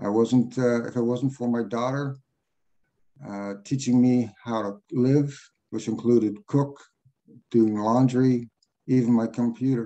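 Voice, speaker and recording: A man's medium-pitched voice, dark and mellow in tone, in a monotone, flat intonation at a fairly slow pace with long, frequent pauses. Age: 60s. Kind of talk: personal testimony.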